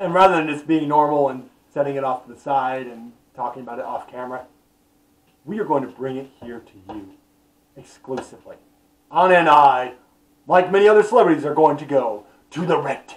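A man talks at a fairly quick pace with ordinary pitch variation. His loudness swings widely. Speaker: comedy vlogger. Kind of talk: casual vlog chat. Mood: mock-serious, joking. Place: home room. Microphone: webcam.

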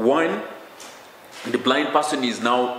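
A man's voice carries audible room echo, with light background noise present. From Uganda. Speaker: student inventor. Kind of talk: interview. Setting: university campus. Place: office. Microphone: handheld.

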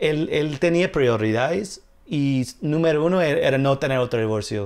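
Against a quiet background, a man with an English accent talks at a fairly slow pace, his fairly high pitch showing ordinary variation. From US, New York. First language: English (speaking Spanish). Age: 30s. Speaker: comedian. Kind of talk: casual chat. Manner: halting. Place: home room.

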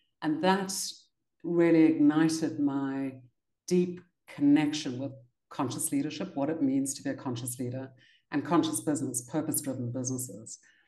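Against a quiet background with audible room echo, the speaker has a dark, mellow tone and fairly even intonation, moving at a moderate pace with long, frequent pauses. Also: woman, very deep, low pitch for a woman. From South Africa, Cape Town. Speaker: leadership consultant and author; interview guest. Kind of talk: interview. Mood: warm, smiling. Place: home room. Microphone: video call.

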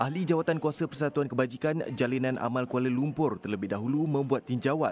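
A man speaks with a Malaysian accent at a medium pitch. His pace is fairly quick. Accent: Malaysian Malay. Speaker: news reporter. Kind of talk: news reading. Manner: formal.

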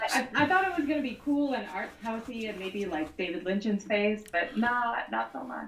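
Room echo is audible as a woman speaks at a fairly quick pace and fairly high pitch. Her tone is fairly bright, with lively intonation.

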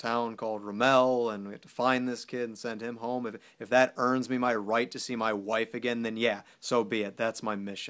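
A man talks at a moderate pace with monotone, flat intonation and hardly any pauses, against a quiet background. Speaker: actor performing a soldier character. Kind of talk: dramatic monologue. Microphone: phone near.

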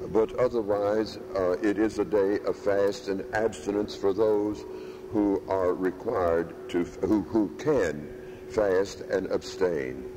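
A man speaks at a very slow pace with very even loudness. Noticeable background noise runs behind him. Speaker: priest. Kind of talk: sermon. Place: church.

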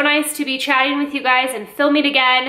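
A woman uses a raised, projected voice amid audible room echo. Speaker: lifestyle vlogger. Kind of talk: casual vlog chat. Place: kitchen. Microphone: phone near.

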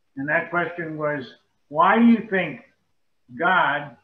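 A man speaks at a moderate pace with ordinary pitch variation. Room echo is audible. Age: 70s. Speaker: Bible study participant. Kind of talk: group discussion. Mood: calm, reflective. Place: home room. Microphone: video call.

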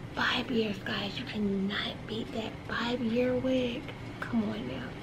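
Soft-spoken and relaxed, a woman talks at a very slow pace over noticeable background noise. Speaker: ASMR creator. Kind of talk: ASMR talk to camera. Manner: soft-spoken, relaxed. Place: home room.

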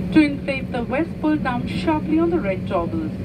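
Behind this woman, background noise is loud. She speaks at a moderate speed. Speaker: cabin crew announcer. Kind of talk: in-flight safety announcement. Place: plane.

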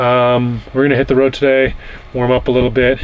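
Against light background noise, a man speaks at a very fast pace. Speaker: travel vlogger. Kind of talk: casual vlog chat. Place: car.

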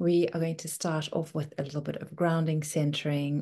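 A soft-spoken woman with a very deep, low pitch speaks in a warm, dark and mellow tone, somewhat breathy and monotone, over a quiet background. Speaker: meditation and wellness coach. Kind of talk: gently guided breathing meditation, soothing step-by-step invitations. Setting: video call. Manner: slow, soft and unhurried, with long calming pauses; warm, nurturing and softly encouraging. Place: home room. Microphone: video call.

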